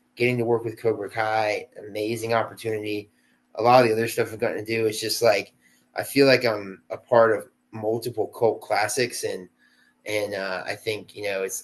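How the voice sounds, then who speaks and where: A man talks at a fairly quick pace in a monotone, flat intonation. His pitch is medium, and the background is quiet. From South Carolina, US South. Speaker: actor. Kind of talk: casual interview chat. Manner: casual, laid-back with many fillers.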